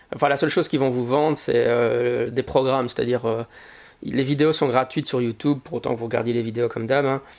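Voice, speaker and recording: A man speaks at a fairly quick pace, his medium-pitched voice keeping a fairly even intonation. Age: 40s. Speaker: podcast host and teacher. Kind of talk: solo podcast monologue. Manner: halting, many fillers and repetitions.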